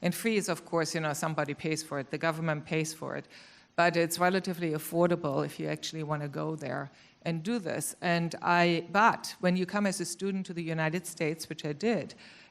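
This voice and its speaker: A woman with a German accent, fairly low-pitched, at a fairly quick pace with fairly even intonation. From Germany. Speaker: corporate finance executive. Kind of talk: panel discussion.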